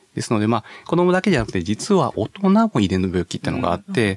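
The pace is very fast, with very wide pitch swings. The sound is dry and close, with no echo. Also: man. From Hyogo, Kansai (Tamba-Sasayama). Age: 40s. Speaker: medical professor, geneticist. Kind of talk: radio interview.

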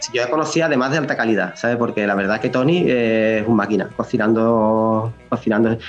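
With noticeable background noise behind him, a man with a medium pitch talks at a fairly quick pace with hardly any pauses and very even loudness. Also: ordinary pitch variation. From Spain. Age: 40s. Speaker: rock musician and pharmacist. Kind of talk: interview. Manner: halting.

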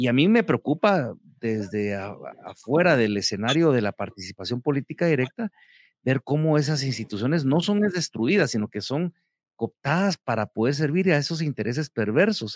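At a moderate pace, the voice makes very wide pitch swings, captured in a very clean, dry, close recording with no echo and a silent background. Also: man, fairly high pitch for a man. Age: 50s. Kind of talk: interview.

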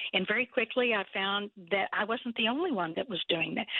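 A woman with a Texan accent speaks at a fairly quick pace in a medium pitch. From South Texas. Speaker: nonprofit founder. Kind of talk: interview.

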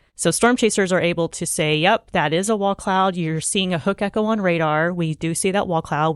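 In an ordinary speaking voice, a woman talks at a fairly quick pace with a fairly low pitch and fairly even intonation over a quiet background. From Oklahoma. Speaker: storm chaser. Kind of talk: interview. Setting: studio.

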